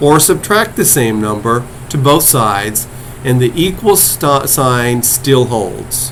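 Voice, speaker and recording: Against noticeable background noise and audible room echo, a man talks at a very slow pace with lively intonation. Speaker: college math instructor. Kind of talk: lecture. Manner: slow, deliberate.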